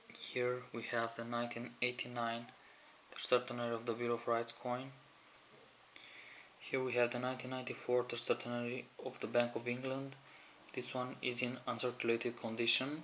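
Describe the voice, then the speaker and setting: A man speaks at a moderate pace with a non-native accent, his medium-pitched voice flat and monotone. Long, frequent pauses break up his speech, and background noise is noticeable. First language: not English. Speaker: coin collector. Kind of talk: show-and-tell video.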